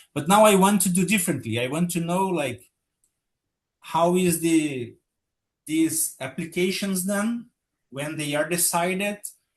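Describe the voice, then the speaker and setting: A man with a Portuguese accent and a high pitch, at a fairly slow pace with long, frequent pauses and ordinary pitch variation. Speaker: patent office official. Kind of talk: webinar presentation. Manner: halting.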